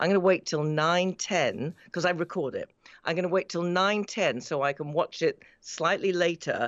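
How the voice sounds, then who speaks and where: In a British accent, a woman with a fairly low pitch and ordinary pitch variation speaks at a moderate pace, the sound dry and close with no echo against a quiet background. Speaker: radio industry reporter. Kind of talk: panel discussion. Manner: halting.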